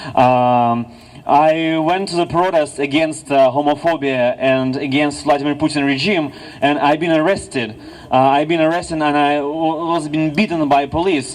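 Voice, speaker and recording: A man with a Russian accent speaks at a fairly high pitch with fairly even intonation. Noticeable background noise is present. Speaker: activist. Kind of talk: rally speech. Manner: halting.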